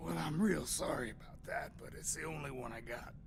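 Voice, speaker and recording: Over clear background noise, a man does a put-on character voice at medium pitch and a fairly quick pace. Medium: video game. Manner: mocking.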